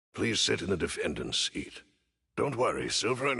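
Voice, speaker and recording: Using a raspy put-on character voice, a man speaks at a moderate pace. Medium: video game. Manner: formal, courteous.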